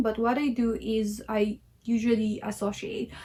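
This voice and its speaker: The speaker has a Filipino accent and sounds somewhat breathy. The background is quiet. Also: woman. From Philippines. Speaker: language learner vlogger. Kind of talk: casual tutorial vlog. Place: home room. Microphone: phone near.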